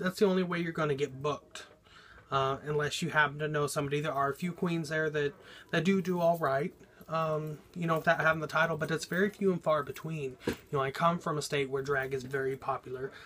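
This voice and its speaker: With an American accent, a man talks at a fairly quick pace in a bright, sharp tone and fairly even intonation. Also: fairly high pitch for a man. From Oklahoma. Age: 30s. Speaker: drag performer. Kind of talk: audition video monologue. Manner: casual, filler-heavy.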